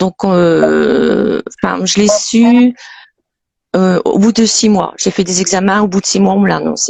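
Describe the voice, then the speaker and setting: This woman speaks at a fairly slow pace. Her loudness stays very even. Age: 50s. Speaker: Parkinson's patient. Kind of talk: testimony.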